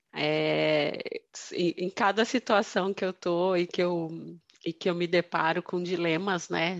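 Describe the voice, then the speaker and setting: Over a quiet background, a woman speaks with an unremarkable speaking voice at a fairly low pitch. Her intonation is fairly even, and the sound is dry and close with no echo. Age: 40s. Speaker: finance and innovation manager. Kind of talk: casual interview. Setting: remote call.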